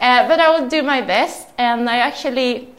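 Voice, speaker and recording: With a Swedish accent, a woman speaks with ordinary pitch variation. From southern Sweden. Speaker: entrepreneur. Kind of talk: talk to audience.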